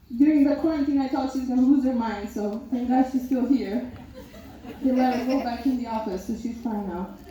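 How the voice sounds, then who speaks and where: Amid noticeable background noise and audible room echo, a woman speaks at a fairly quick pace in a high pitch with fairly even intonation. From North Macedonia. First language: Macedonian. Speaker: maid of honor. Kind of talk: wedding speech. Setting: wedding reception.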